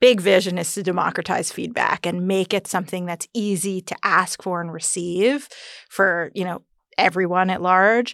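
A plain, everyday voice with an American accent, fairly even intonation and a moderate pace, in a very clean recording with a silent background. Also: woman, medium pitch for a woman. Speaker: entrepreneur and mother. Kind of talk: casual chat, personal birth story.

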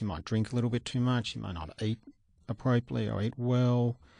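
A medium-pitched man speaks with an Australian accent in a dry, close recording with no echo. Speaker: doctor, cardiologist. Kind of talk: expert interview.

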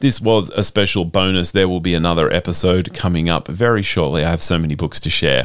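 A man with an Australian accent has a very deep, low pitch. He talks at a very fast pace with ordinary pitch variation. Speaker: radio host. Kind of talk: scripted intro.

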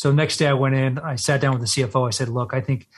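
In a somewhat breathy, medium-pitched voice, a man with an American accent talks very fast with fairly even intonation over a quiet background. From Texas. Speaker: Navy SEAL veteran and company CEO. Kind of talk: interview.

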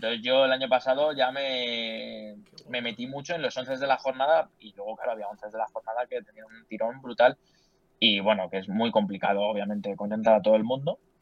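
In a normal speaking voice, a man with a medium pitch talks at a fairly quick pace. His loudness swings widely. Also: ordinary pitch variation. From Spain, Leganés (Madrid). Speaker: sports journalist. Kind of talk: casual chat.

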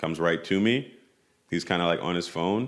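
On a very clean recording with a silent background, a man with an American accent speaks at a very deep, low pitch with ordinary pitch variation. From New York City (Tribeca). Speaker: footwear designer. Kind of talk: interview. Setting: studio.

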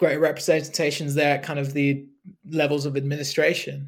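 His pitch sits fairly high. The man speaks in a flat monotone. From Hong Kong and UK. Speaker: cricket journalist. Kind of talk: podcast interview. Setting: remote call. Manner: halting, many fillers.

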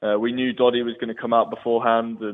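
Talking at a very fast pace, a man with an English accent keeps a medium pitch and monotone, flat intonation. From England. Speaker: professional rugby player. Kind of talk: casual interview.

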